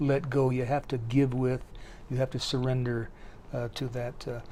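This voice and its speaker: At a moderate pace, the voice is dark and mellow with monotone, flat intonation in an Upper Midwest accent. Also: man. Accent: Upper Midwest American. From US Midwest (Sioux City, Iowa). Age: 70s. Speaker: poet. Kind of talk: interview. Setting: book festival. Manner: halting, many fillers and repeats.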